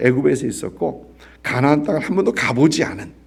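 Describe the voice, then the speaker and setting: Amid audible room echo, a man speaks at a medium pitch and a fairly slow pace, with vocal fry. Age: 60s. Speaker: pastor. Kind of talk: sermon. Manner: halting, many fillers.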